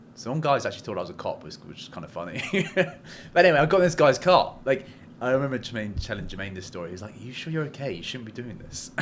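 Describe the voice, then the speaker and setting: With an English accent, a man speaks at a medium pitch with vocal fry. His pace is very fast, with very wide pitch swings and big swings in loudness. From England. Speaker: commercial real estate broker. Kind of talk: casual chat.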